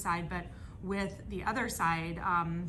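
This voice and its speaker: Audible echo from the room and noticeable background noise come through with this woman's voice. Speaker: ambassador. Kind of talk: audience question. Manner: loud.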